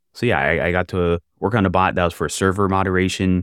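At a fairly quick pace, a man with an American accent speaks in a very deep, low pitch on a very clean recording with a silent background. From US South, Jacksonville, Florida. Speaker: junior software developer. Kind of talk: casual interview chat.

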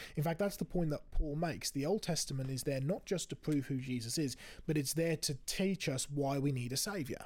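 Somewhat breathy and fairly high in pitch, a man talks at a fairly quick pace with ordinary pitch variation on a very clean recording with a silent background. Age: 20s. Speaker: creation ministry speaker. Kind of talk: casual chat. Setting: studio.

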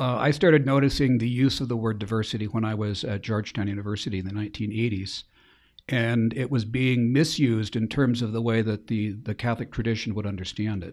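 In a normal speaking voice with an American accent, a man talks at a fairly quick pace and medium pitch with fairly even intonation, in a very clean recording with a silent background. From Spokane, Washington, US Pacific Northwest. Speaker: Jesuit priest. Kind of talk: interview.

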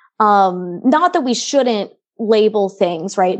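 A woman's fairly high voice with lively intonation at a moderate pace against a quiet background, an ordinary speaking voice. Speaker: philosophy student. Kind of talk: casual chat.

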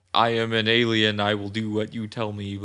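A man's put-on, robotic character voice, fairly low in pitch, with monotone, flat intonation. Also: moderate pace. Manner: flat, obedient.

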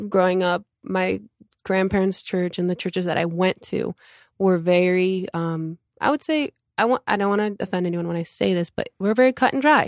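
It is a normal speaking voice at a moderate pace with ordinary pitch variation and a dry, close sound with no echo. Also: woman, very clean recording, silent background. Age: 20s. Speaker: church member, worship volunteer. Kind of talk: casual interview.

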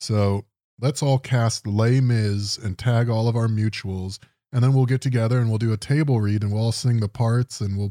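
A plain reading-aloud voice is heard. Nothing stirs in the background.

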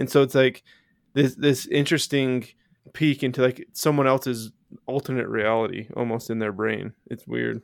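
Man with a normal speaking voice, medium pitch, fairly even intonation, and a moderate pace, on a very clean recording with a silent background and a dry, close sound with no echo. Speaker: podcast host. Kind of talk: casual chat.

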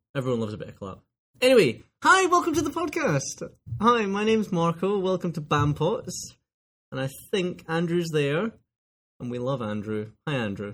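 A high-pitched man with a strong Scottish accent, very wide pitch swings and a moderate pace. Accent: broad Scottish. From Scotland, lives in Glasgow. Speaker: podcast co-host.

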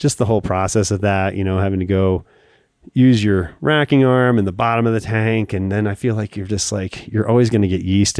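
In a dark, mellow tone, a man speaks at a fairly quick pace with fairly even intonation, in a dry, close sound with no echo and a very clean recording with a silent background. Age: 50s. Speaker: brewery director. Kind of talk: casual interview.

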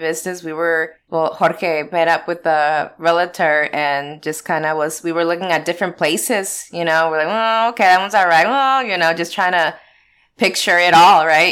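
A woman with an American accent speaks in a plain, everyday voice at a moderate pace and a fairly low pitch, on a very clean recording with a silent background. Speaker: pinball lounge owner. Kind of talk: casual interview.

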